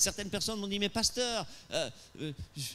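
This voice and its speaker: Raised and projected, a man's high voice has a bright, sharp tone and very wide pitch swings. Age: 60s. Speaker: pastor. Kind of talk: sermon. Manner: animated; hesitant with repetitions.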